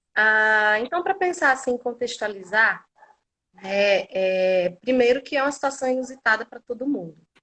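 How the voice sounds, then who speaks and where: With music in the background, a woman speaks in a high pitch with lively intonation. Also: moderate pace, big swings in loudness. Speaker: occupational therapist and lecturer. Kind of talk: online lecture. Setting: livestream.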